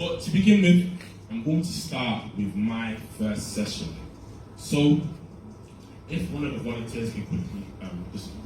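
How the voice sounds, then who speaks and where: Amid noticeable background noise and audible room echo, a man speaks at medium pitch and a fairly slow pace with very wide pitch swings and long, frequent pauses. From UK. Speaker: summit organiser and presenter. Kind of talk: conference talk.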